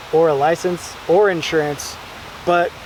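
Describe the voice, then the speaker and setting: Against noticeable background noise, a man speaks at a fairly slow pace with a high pitch and fairly even intonation. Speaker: sovereign-citizen law researcher. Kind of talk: casual conversation.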